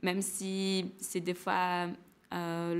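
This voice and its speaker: A woman with a Portuguese accent speaks at a fairly low pitch. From Brazil, São Paulo. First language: Portuguese (speaking French). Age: 20s. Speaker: former student, engineer. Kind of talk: testimony. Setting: webinar. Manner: halting, many hesitations.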